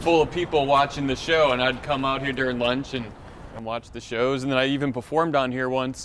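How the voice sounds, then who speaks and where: A man with an American accent talks at a fairly quick pace and medium pitch. His intonation is monotone and flat, with noticeable background noise behind him. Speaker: podcast host, comedian. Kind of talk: casual chat. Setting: outdoors, walking downtown.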